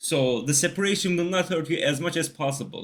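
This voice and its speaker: A man with a non-native accent talks fairly quickly, with ordinary pitch variation. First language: not English. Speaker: gaming video creator. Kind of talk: tutorial. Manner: casual, with filler words.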